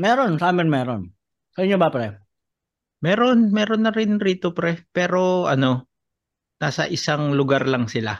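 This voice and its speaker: A man speaks at a moderate pace and a high pitch, his voice swinging very widely in pitch while the loudness stays very even. The background is quiet. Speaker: stand-up comedian. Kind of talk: casual chat.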